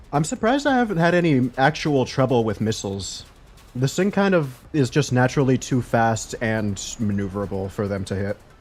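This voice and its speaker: A loud man with very wide pitch swings at a fairly quick pace. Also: medium pitch for a man. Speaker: gaming streamer. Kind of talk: live gameplay commentary. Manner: animated.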